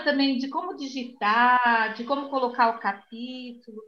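The voice is raised and projected, with a bright, sharp tone. The pace is fairly slow. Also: woman. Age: 60s. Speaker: retired library employee and author. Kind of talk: interview.

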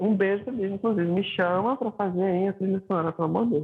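A man talks in a high voice while noticeable noise fills the background. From Recife, Brazil.

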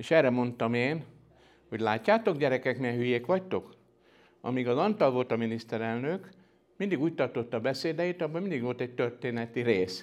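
A man with an ordinary speaking voice, medium pitch, lively intonation and a fairly quick pace over a quiet background. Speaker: science historian, professor. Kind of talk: lecture.

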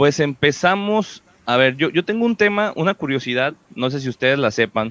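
A fairly high-pitched man with lively intonation at a moderate pace. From Mexico, Puerto Vallarta (Pacific coast). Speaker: podcast host. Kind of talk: casual chat. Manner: animated.

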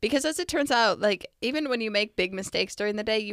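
Recorded very cleanly against a silent background, a woman with an unremarkable speaking voice talks at medium pitch in a dry, close sound with no echo. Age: 20s. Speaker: podcast co-host and parent. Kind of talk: casual chat.

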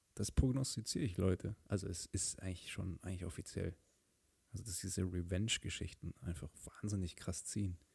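A man with a very deep, low pitch talks at a fairly quick pace, somewhat breathy. His tone is calm and soothing, with ordinary pitch variation. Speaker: podcast host. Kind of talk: casual solo monologue. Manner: calm, soothing.

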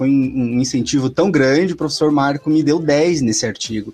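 Talking at a fairly high pitch and a moderate pace, a man has an unremarkable speaking voice. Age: 30s. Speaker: economics professor and author. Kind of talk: casual chat.

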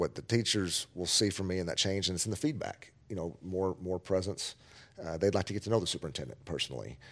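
Speaking with a Texan accent, a man with a very deep, low pitch shows vocal fry and ordinary pitch variation. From Texas Panhandle (Amarillo). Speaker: school superintendent. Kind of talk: interview.

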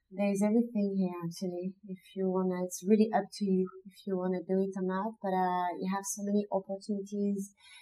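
With a French accent, a woman speaks at a fairly quick pace, her medium-pitched voice carrying a dark, mellow tone. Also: hardly any pauses. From southern France (Nîmes). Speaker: street artist and muralist. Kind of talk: casual interview. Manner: halting, many fillers.

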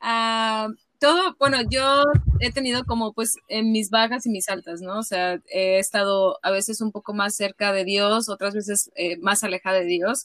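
With a bright, sharp tone and fairly high pitch, a woman speaks at a fairly slow pace with ordinary pitch variation, the sound dry and close with no echo. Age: 30s. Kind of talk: casual interview. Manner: halting.

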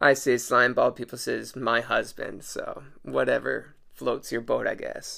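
A very clean recording of a man, silent in the background. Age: 30s. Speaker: podcast host and comedian. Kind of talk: casual solo podcast monologue.

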